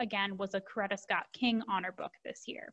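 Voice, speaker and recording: The background is without noise. A woman talks with fairly even intonation. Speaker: presenter. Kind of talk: presentation on book resources. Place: home room. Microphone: video call.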